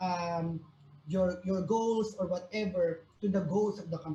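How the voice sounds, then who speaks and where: A woman talks with a Filipino accent. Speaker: career talk speaker, recruiter. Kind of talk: online workshop talk. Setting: video call. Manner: hesitant, many fillers.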